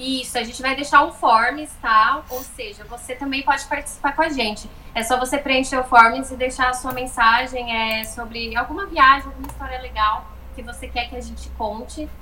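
Delivered at a moderate pace with hardly any pauses, the speech has fairly even intonation and noticeable background noise. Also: woman, high pitch for a woman. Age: 30s. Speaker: podcast co-host, travel content creator. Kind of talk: casual chat, storytelling.

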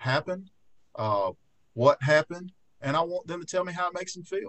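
This man speaks with an Alabama accent and lively intonation. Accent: Southern US (Alabama). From US South, rural Fayette County, Alabama. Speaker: trial lawyer. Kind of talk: casual interview chat. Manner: frequent filler words (uh).

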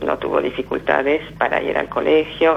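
A woman talks at a fairly slow pace as noticeable background noise carries on. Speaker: Holocaust survivor and author. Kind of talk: testimony. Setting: phone call. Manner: halting.

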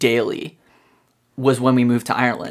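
A man speaks at a moderate pace in a plain, everyday voice of medium pitch. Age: 20s. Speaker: college student and phone repair technician. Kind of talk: casual chat.

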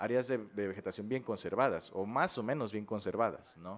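A man talks at a fairly quick pace in a plain, everyday voice of medium pitch. His pitch varies in an ordinary way over a quiet background. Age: 20s. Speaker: biology student and environmentalist. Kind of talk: interview conversation.

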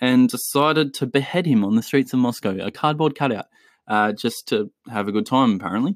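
The voice has an Australian accent, a fairly quick pace and ordinary pitch variation. The recording is very clean with a silent background and a dry, close sound with no echo. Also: man. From Chile. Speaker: football podcast host. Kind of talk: solo podcast commentary. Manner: casual, with frequent filler words.

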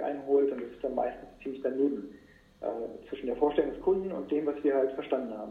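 A fairly high-pitched man is heard with audible room echo. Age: 40s. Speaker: entrepreneur, podcast host. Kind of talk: interview. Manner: hesitant, many fillers. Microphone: poor sound quality.

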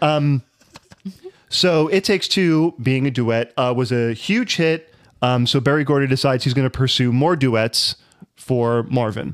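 This man speaks in a plain, everyday voice at medium pitch and a fairly slow pace, with ordinary pitch variation and very even loudness, in a dry, close sound with no echo. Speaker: podcast co-host. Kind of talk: casual banter podcast.

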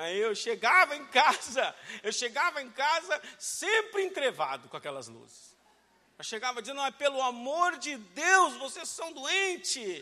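An animated man's raised, projected voice at an extremely high pitch, with lively intonation and a fairly slow pace. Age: 40s. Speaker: pastor. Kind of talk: sermon.

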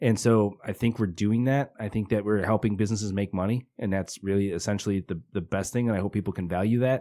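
A man with a Midwestern American accent and a fairly low pitch talks very fast with fairly even intonation, on a very clean recording with a silent background. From Northwest Indiana. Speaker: media company CEO. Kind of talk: casual interview chat. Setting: studio.

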